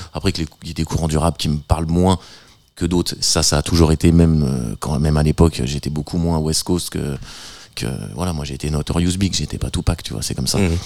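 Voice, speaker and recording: A man's very deep, low voice, dark and mellow in tone, at a fairly quick pace. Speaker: DJ and music producer. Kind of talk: interview. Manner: halting.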